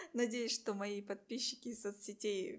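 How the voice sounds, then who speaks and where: Her intonation fairly even, a woman speaks at a very slow pace. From Buryatia, Russia. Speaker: podcast host. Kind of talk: casual interview.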